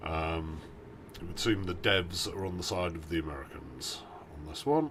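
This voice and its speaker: A man's very deep, low voice with a British accent, ordinary pitch variation, a moderate pace and audible room echo. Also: big swings in loudness. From Britain. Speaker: video game streamer. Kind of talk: live stream gameplay commentary. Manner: halting, many fillers.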